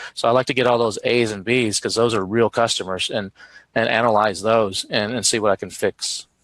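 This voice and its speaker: A man speaks with a Texan accent in a monotone, flat intonation. The sound is dry and close, with no echo. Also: medium pitch for a man, fairly quick pace. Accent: Texan American English. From Texas. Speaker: Amazon seller and marketing expert. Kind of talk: live streamed interview. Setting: live online stream. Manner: fast.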